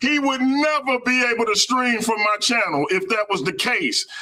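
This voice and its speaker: A man's raised, projected voice at an extremely high pitch and a fairly slow pace. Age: 40s. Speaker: debate guest, streamer. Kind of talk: heated debate. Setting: live stream.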